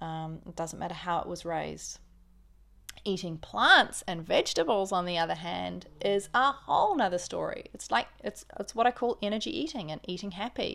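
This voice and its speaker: A woman with a New Zealand accent and big swings in loudness, on a very clean recording against a silent background. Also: moderate pace. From New Zealand, Auckland. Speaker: podcast host, vegan lifestyle. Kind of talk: casual monologue.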